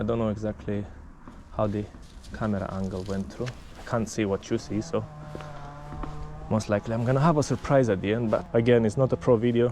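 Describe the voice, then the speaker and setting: Speaking in a non-native accent at a fairly quick pace, a man with a fairly low pitch and ordinary pitch variation leaves long, frequent pauses over noticeable background noise. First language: not English. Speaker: mountain bike vlogger. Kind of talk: casual tutorial. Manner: animated.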